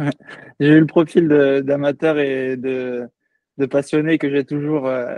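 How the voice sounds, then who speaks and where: This man's voice sits at a medium pitch. His intonation stays flat and monotone throughout. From French Antilles, Saint-Martin. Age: 20s. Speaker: professional triathlete. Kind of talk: podcast interview. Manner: hesitant, many fillers.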